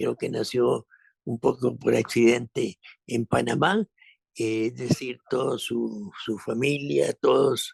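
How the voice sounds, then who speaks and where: A man's very slow speech, dry and close with no echo. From Costa Rica. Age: 70s. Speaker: actor. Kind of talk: interview conversation. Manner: halting, many repetitions.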